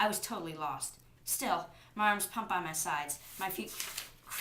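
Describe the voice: Ordinary pitch variation comes through in this plain reading aloud.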